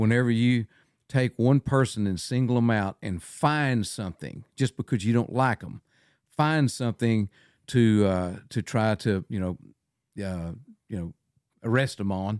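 A man with a West Texas accent speaks at a fairly slow pace with long, frequent pauses, medium pitch and ordinary pitch variation. The recording is very clean with a silent background and a dry, close sound with no echo. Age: 70s. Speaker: wildlife photographer. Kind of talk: casual chat.

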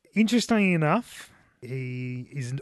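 A man with an Australian accent and lively intonation, in a dry, close sound with no echo. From South Australia. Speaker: podcast co-host, beer reviewer. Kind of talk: casual chat.

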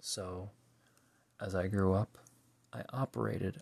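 A man with an American accent speaks at a fairly low pitch, his voice somewhat breathy and his pitch varying in an ordinary way. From US, Pennsylvania. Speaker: podcast host. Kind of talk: solo monologue reflection.

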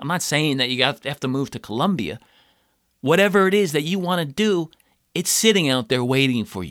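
Over a silent background in a very clean recording, a man with an American accent speaks fairly quickly in a plain, everyday voice, fairly high in pitch, with lively intonation. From United States. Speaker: podcast host and actor. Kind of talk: solo monologue, personal story. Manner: casual, conversational.

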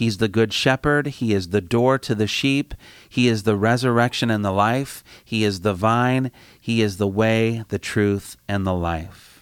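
A man with a Midwestern American accent, dry and close with no echo, on a very clean recording with a silent background. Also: medium pitch for a man, ordinary pitch variation, fairly slow pace. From US Midwest, Indiana. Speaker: campus ministry director. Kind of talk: sermon. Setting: studio.

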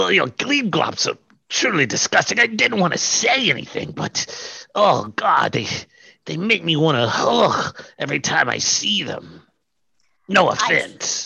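Speaking fairly slowly, a man performs a put-on character voice. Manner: prim, disdainful.

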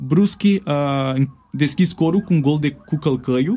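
Somewhat breathy and dark, mellow in tone, a man with a Brazilian accent talks at a fairly slow pace in a fairly high voice with ordinary pitch variation. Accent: Brazilian Portuguese accent in Romanian. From Brazil, Florianópolis. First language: Portuguese (speaking Romanian). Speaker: football journalist. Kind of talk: casual chat. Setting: studio. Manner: halting.

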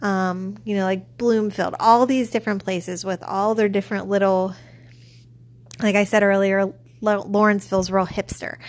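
A woman with an American accent speaks at a moderate pace in a normal speaking voice, her medium pitch and fairly even intonation captured on a very clean recording with a silent background. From Pittsburgh, US. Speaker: podcast host, librarian. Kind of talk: casual book review monologue.

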